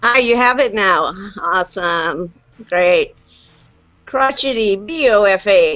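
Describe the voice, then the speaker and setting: A woman's medium-pitched voice, very slow with long, frequent pauses and lively intonation, over background music. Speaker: live stream host on vaping. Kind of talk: casual live chat. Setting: video call. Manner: loud.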